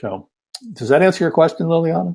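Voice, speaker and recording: Talking at a fairly quick pace, a man with a fairly high pitch uses lively intonation and vocal fry. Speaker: sustainability consultant and lecturer. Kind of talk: online talk.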